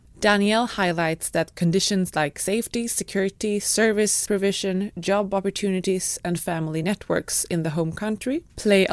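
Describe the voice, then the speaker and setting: In a very clean recording with a silent background, a woman speaks in an unremarkable speaking voice at medium pitch, moderate pace and ordinary pitch variation. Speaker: podcast narrator/host. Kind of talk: scripted narration.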